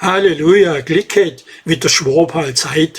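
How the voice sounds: A put-on character voice with a raspy edge. It moves at a fairly slow pace. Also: man.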